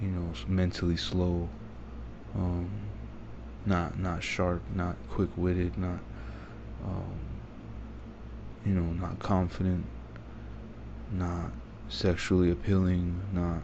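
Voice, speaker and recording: A man's very deep, low voice at a very slow pace, with long, frequent pauses, ordinary pitch variation and audible room echo. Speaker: vlogger. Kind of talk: personal monologue. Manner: soft-spoken. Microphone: quiet recording.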